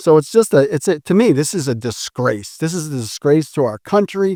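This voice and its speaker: Against a silent background in a very clean recording, a man speaks at a moderate pace in an animated tone, his pitch swinging very widely, with a dry, close sound and no echo. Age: 60s. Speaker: solar energy company founder. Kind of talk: interview.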